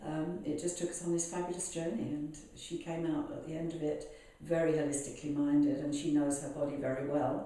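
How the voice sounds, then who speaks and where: A British-accented woman with a very deep, low pitch and monotone, flat intonation at a moderate pace, amid noticeable background noise and audible room echo. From UK. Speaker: healer. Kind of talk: interview.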